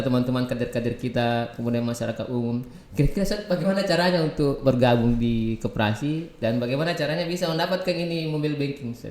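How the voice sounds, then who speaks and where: A man with a Makassar accent talks very fast in a fairly high voice with lively intonation, over noticeable background noise. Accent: Makassar Indonesian. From South Sulawesi, Makassar. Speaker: podcast host. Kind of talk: casual interview.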